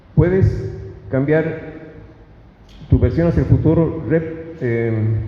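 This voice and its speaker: With audible room echo and noticeable background noise, a man speaks very slowly at a fairly high pitch, using ordinary pitch variation and long, frequent pauses. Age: 60s. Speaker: public speaker. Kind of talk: lecture. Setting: stage with audience. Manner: halting.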